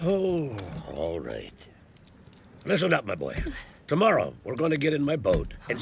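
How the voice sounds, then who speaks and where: Putting on a character voice, a man rumbles at a fairly high pitch and moderate pace, with long, frequent pauses. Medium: cartoon. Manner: grumbling, lecturing.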